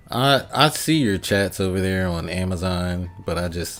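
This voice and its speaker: A man with an American accent and a very deep, low pitch, relaxed in tone, with music in the background. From Philadelphia and rural US. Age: 40s. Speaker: gaming streamer. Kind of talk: live stream chat. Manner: casual, relaxed.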